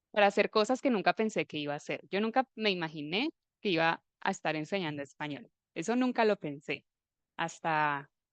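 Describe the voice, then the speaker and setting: With an unremarkable speaking voice, a woman talks at a moderate pace in a fairly low pitch with lively intonation, the sound dry and close without echo against a quiet background. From Colombia, Armenia (Eje Cafetero). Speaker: Spanish teacher. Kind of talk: live online class.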